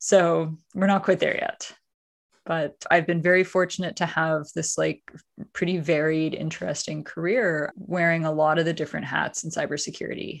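Against a quiet background, a woman with a Canadian accent uses a plain, everyday voice, fairly low in pitch, with fairly even intonation at a moderate pace. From Canada, Ottawa area. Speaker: tech startup founder and CEO. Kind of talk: interview.

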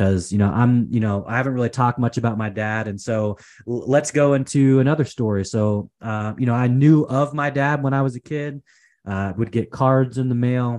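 Over a quiet background, a man with a West Coast accent speaks with ordinary pitch variation. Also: medium pitch for a man, moderate pace. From US Pacific Northwest, Portland, Oregon. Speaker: entrepreneur, consultant. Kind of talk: interview, personal story.

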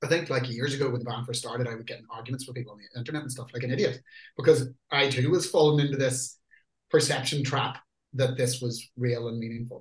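A man at a medium pitch with a Northern Irish accent, a somewhat breathy voice, fairly even intonation, big swings in loudness and a very fast pace. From Northern Ireland. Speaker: metal band lyricist and singer. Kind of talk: interview. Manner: casual.

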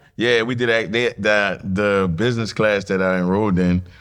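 A man talks with a New Orleans accent. His intonation stays fairly even. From New Orleans, Louisiana. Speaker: nightlife promoter and entrepreneur. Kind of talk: casual interview.

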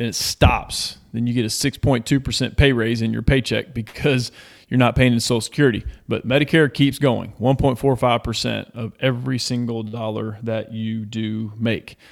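Here a man speaks at a medium pitch with monotone, flat intonation. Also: moderate pace. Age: 40s. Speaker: financial coach, former baseball player. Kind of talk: casual chat.

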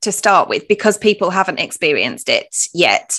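A woman with a British accent speaks at a fairly slow pace, her pitch medium. Her tone is bright and sharp against a quiet background. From UK. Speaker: podcast host. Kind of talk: podcast interview.

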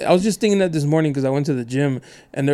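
Pitched fairly high for a man, his voice has a dark, mellow tone and ordinary pitch variation. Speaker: podcast host. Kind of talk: casual chat. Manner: animated.

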